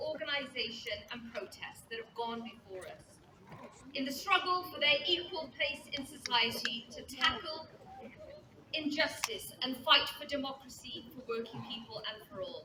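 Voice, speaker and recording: With audible room echo and noticeable background noise, a woman speaks fairly slowly in a raised, projected, high voice with ordinary pitch variation. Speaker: trade union leader. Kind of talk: speech at rally.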